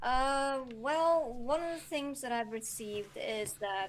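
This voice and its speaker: With an Icelandic accent, a woman speaks in a high pitch. Her pace is very slow. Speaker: novelist. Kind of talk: interview. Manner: hesitant, many fillers.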